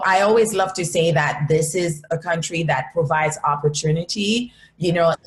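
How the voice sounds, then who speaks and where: A woman at a moderate pace and fairly low pitch, with ordinary pitch variation and noticeable background noise. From Haiti. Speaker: entrepreneur. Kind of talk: interview.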